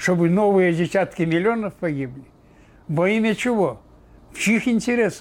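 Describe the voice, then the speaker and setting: The man's pitch is high. He speaks at a fairly slow pace. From Belarus. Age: 80s+. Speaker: war veteran. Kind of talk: interview testimony.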